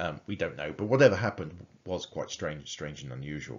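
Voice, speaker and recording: At a fairly quick pace, a man talks. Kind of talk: lecture. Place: home room. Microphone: webcam.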